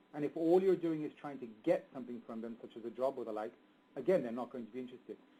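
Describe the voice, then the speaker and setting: A man with an English accent at a very fast pace, dark and mellow in tone, with ordinary pitch variation. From England. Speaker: marketing expert. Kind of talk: webinar presentation. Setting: webinar. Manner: mumbling.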